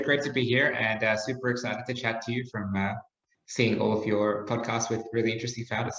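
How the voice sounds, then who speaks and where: Amid audible room echo, a man speaks at a very fast pace with fairly even intonation. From Australia. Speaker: startup founder. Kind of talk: podcast interview.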